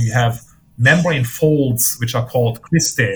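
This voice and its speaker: Over music in the background, a man with a German accent talks at a moderate pace and medium pitch with ordinary pitch variation. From Germany. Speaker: physicist. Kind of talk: interview.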